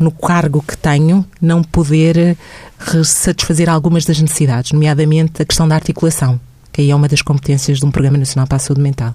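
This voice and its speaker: The delivery is fairly quick. The intonation stays monotone and flat. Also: woman, very deep, low pitch for a woman. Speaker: social worker and mental health program adviser. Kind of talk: radio interview.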